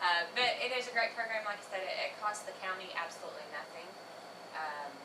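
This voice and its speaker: Over noticeable background noise and audible room echo, a woman with a fairly high voice talks at a fairly quick pace with lively intonation. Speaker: insurance benefits representative. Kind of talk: public meeting presentation. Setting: county commission meeting. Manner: fast; many fillers (um, uh).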